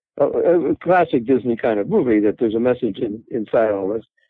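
This is a man speaking. His pace is moderate. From Canada, Toronto. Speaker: cinematographer. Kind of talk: interview.

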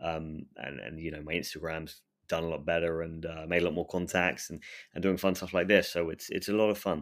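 A man with an English accent speaks at a fairly quick pace in a very deep, low pitch with monotone, flat intonation, on a very clean recording with a silent background. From England. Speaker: urban explorer. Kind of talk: casual interview. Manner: halting, repetitive fillers.

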